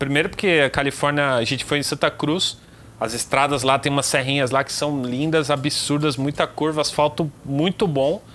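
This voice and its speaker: With an unremarkable speaking voice, a man talks at a moderate pace, fairly high in pitch and with fairly even intonation. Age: 30s. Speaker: motorcycle reviewer and mechanic. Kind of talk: casual chat.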